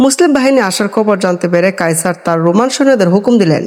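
With lively intonation, the speaker reads aloud in a natural voice.

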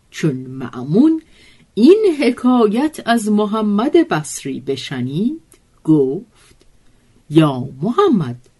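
A woman speaks at a very slow pace with very wide pitch swings. Her voice is somewhat breathy against a quiet background. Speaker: storyteller narrator. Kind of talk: literary storytelling reading.

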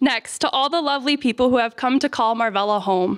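The background is quiet. A woman with a high voice talks at a fairly quick pace. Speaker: campus administrator hosting ceremony. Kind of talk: ceremony speech. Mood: warm, grateful. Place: hall. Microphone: podium.

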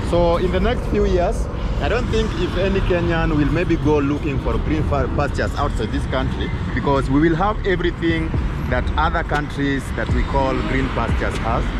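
A man talks at a moderate pace. The sound is dry with no echo, with loud background noise. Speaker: guest. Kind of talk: casual vlog commentary. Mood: upbeat, promotional. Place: street. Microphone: phone near.

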